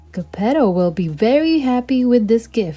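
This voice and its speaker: Over faint background music, a woman uses a put-on character voice, fairly high in pitch with very wide pitch swings, at a moderate pace. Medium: read story.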